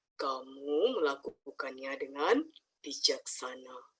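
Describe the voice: This put-on character voice is raspy, sitting at a low-to-middle pitch and moving at a fairly slow pace.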